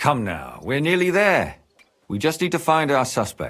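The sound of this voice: Putting on a character voice, a man speaks at a fairly slow pace with a fairly high, fairly bright sound and very wide pitch swings.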